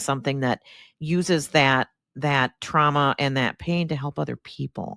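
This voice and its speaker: In a dry, close sound with no echo and a silent background on a very clean recording, a woman with a very deep, low voice speaks at a moderate pace. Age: 60s. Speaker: podcast host. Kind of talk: podcast interview.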